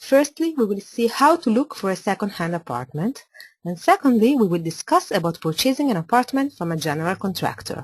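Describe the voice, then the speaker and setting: A woman's somewhat breathy voice, fairly high in pitch, moves at a fairly quick pace with very wide pitch swings. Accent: Italian. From Italy (Milan). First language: Italian. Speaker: architect. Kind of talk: webinar presentation. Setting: online webinar.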